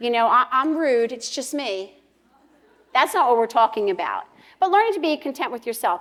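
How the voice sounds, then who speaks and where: A loud woman's voice with very wide pitch swings. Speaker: pastor's wife and women's speaker. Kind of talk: women's conference talk. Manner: fast, nonstop talker.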